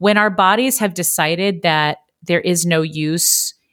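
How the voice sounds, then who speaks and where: A woman talks at a fairly slow pace with a fairly low pitch and ordinary pitch variation. The recording is very clean, with a silent background. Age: 30s. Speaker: actress and voice coach. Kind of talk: casual chat. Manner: animated.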